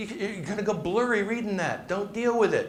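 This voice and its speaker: Amid noticeable background noise and audible room echo, a man speaks in a high pitch with an animated tone. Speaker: presentation coach and business speaker. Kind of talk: live talk to an audience. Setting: stage with audience. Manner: fast.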